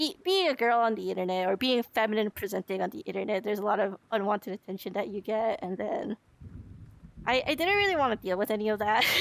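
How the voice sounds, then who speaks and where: Her pitch is fairly high for a woman. She varies it in an ordinary way. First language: spoke Korean and Japanese at home as a child. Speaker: vlogger. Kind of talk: casual chat. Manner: halting, lots of fillers.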